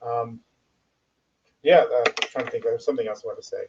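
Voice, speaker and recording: A man in a dry, close sound with no echo. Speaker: ESL instructor. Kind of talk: casual chat. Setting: live stream video call. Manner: fast.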